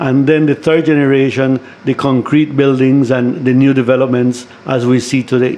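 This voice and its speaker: A man's monotone, flat delivery over noticeable background noise. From Belize, San Pedro (Ambergris Caye). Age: 60s. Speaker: retired educator and community leader. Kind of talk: radio interview. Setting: studio.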